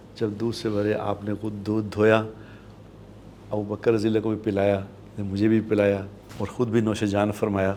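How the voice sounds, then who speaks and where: Pausing long and often, a man talks in a fairly low pitch with monotone, flat intonation. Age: 60s. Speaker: Islamic scholar. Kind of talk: religious talk show. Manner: earnest, preaching.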